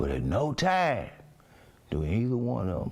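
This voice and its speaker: Vocal fry runs through a man's speech, delivered with an American accent. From East Texas. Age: 60s. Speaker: criminal defendant and activist. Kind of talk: interview. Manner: emphatic.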